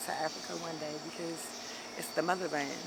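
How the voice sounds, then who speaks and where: The speech comes at a very fast pace in an American accent. Background noise is noticeable. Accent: sounds southern to people from up north. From DMV area (Maryland near DC and Virginia). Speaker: interviewee on the street. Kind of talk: casual street interview.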